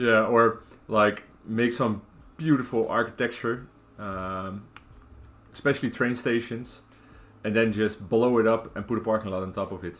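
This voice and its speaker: A man with a Dutch accent talks in a relaxed tone at medium pitch. He leaves long, frequent pauses. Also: moderate pace. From Netherlands, Rotterdam. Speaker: video game streamer. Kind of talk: casual live-stream chat while gaming. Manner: relaxed, hesitant with many fillers.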